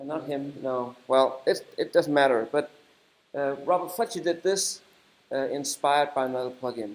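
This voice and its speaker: Fairly high in pitch, a man talks with a Danish accent. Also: ordinary pitch variation, moderate pace. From Denmark. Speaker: software developer and conference speaker. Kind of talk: conference talk. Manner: halting.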